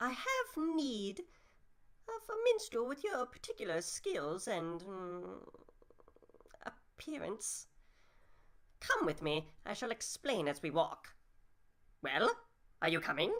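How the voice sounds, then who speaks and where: A female-sounding voice in a put-on character voice, fairly high in pitch, goes at a fairly slow pace with long, frequent pauses. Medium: audio drama. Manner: florid, archaic, condescending.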